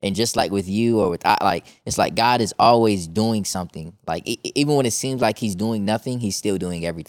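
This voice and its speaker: A man with an American accent talks fairly quickly in a normal speaking voice, with hardly any pauses. The recording is very clean with a silent background, and the sound is dry and close with no echo. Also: fairly low pitch for a man, ordinary pitch variation. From Chicago, Illinois, US. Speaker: mentoring coach. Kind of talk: casual chat.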